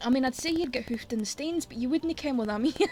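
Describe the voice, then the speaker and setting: Over noticeable background noise, someone with a Scottish accent speaks at a very fast pace with ordinary pitch variation. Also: woman. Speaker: streamer. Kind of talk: casual chat. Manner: animated.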